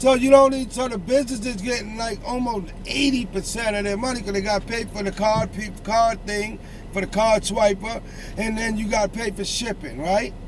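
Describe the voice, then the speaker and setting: Amid noticeable background noise and audible room echo, a man with a high pitch speaks in an animated tone at a moderate pace. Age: 60s. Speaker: street podcast host. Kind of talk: casual chat. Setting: outdoors.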